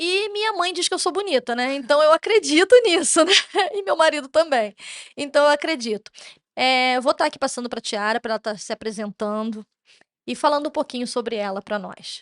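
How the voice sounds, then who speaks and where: A high-pitched woman talks at a moderate pace with very wide pitch swings. The sound is dry and close, with no echo. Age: 30s. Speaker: podcast host, parent advocate. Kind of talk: interview podcast.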